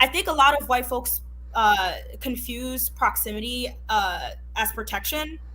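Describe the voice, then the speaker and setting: This is a woman speaking. She has a Haitian accent. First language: Haitian Creole. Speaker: podcast guest. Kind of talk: casual discussion.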